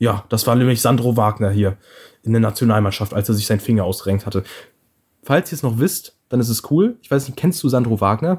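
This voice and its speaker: A man at medium pitch, somewhat breathy, at a fairly quick pace. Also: ordinary pitch variation. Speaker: podcast co-host. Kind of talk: casual chat. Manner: animated.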